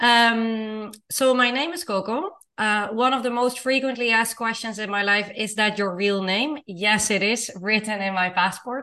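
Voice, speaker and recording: This woman's voice sits fairly high, with ordinary pitch variation. She keeps a moderate pace with hardly any pauses. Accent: Dutch. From Netherlands. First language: Dutch. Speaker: intercultural consultant. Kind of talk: casual interview. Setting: video call.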